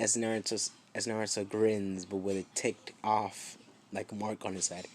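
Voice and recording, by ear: This is reading aloud in a natural voice.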